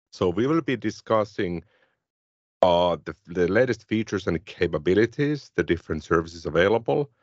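Speaking with a Finnish accent, a man has a very deep, low pitch. His intonation is lively and his pace moderate. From Finland. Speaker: tech podcast co-host. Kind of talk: casual tech discussion.

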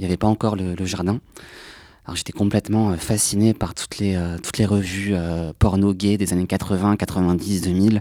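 With a dark, mellow tone and fairly low pitch, the man keeps a fairly even intonation on a very clean recording with a silent background. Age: 20s. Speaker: archive association volunteer. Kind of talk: panel discussion.

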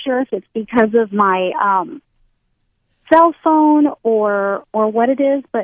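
Speaking very slowly, a woman uses a fairly high pitch and lively intonation. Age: 40s. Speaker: political advocate. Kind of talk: interview.

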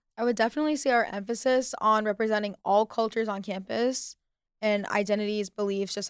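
A woman with an American accent uses a plain, everyday voice at a fairly high pitch and a fairly quick pace. The recording is very clean, with a silent background. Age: 20s. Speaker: student club president. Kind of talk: radio interview.

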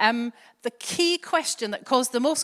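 Lively intonation and a high pitch from a woman with a Glaswegian accent, at a moderate pace, in a dry, close sound with no echo. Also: very clean recording, silent background. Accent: Glaswegian Scottish, soft. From Scotland. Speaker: church preacher. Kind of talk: sermon. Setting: church.

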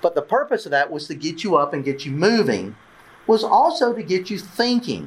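A man with a Southern US accent speaks at a moderate pace in a high pitch, his voice making very wide pitch swings. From US South, southwest Georgia (Albany). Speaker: church workshop leader. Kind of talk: interactive workshop teaching. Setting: conference breakout room with audience.

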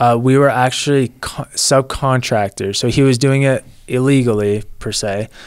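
A man talks in an unremarkable speaking voice at a medium pitch. His pace is moderate and his intonation fairly even. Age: 20s. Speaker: lawn care business owner. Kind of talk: casual interview.

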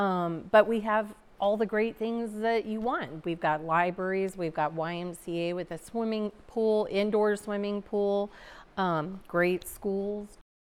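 A woman's plain, everyday voice, medium in pitch, with an American accent, fairly even intonation and a fairly slow pace. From Missouri Ozarks (Seymour). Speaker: town community development director. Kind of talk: casual interview conversation.

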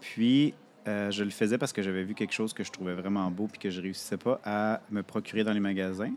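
A man speaks at a fairly quick pace in a normal speaking voice. His pitch is fairly low and his intonation fairly even. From Quebec City. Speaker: podcaster and knitter. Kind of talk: casual interview. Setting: live at a festival.

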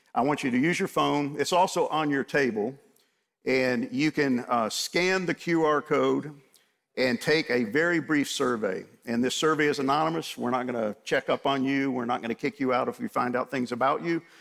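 An ordinary speaking voice with an American accent, a moderate pace, and ordinary pitch variation. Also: man, fairly high pitch for a man. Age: 60s. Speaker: men's Bible study teacher. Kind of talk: sermon. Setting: room with audience.

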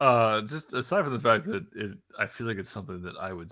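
A man's bright, sharp voice at a moderate pace, on a very clean recording with a silent background. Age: 30s. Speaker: carpenter and podcast guest. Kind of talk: casual chat.

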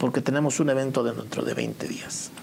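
Noticeable background noise sits behind a man's voice. He speaks at a fairly slow pace with a medium pitch. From Mexico, State of Mexico (Temascalcingo). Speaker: musician. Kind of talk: interview.

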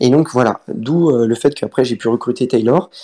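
The voice has a dark, mellow tone, moving at a moderate pace with ordinary pitch variation. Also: man. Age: 20s. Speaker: student and fantasy football player. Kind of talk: casual interview. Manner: halting.

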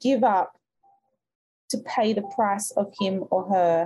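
A woman's somewhat breathy voice, warm with a dark, mellow tone, moves at a fairly slow pace with ordinary pitch variation. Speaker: podcast host and mindset coach. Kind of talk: guided meditation, then goal-setting coaching call. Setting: live call with an online audience. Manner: slow, soothing, calm and rhythmic, counting breaths; warm, encouraging, motivational.

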